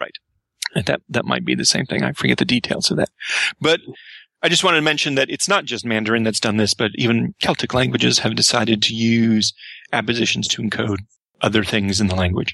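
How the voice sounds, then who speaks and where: At a very fast pace, a man with an American accent speaks at medium pitch in a bright, sharp tone with vocal fry and lively intonation, the sound dry and close with no echo over a quiet background. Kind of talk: casual podcast discussion. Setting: remote call.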